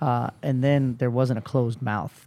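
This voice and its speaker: Fairly quick in pace, the voice has a dark, mellow tone and fairly even intonation. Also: man. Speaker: podcast host. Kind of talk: casual interview chat. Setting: hotel room.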